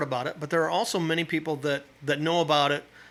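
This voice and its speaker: At a very fast pace, a man with an American accent speaks in a bright, sharp tone at a fairly high pitch. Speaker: drummer and event organizer. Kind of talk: casual interview chat. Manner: halting, repeats words.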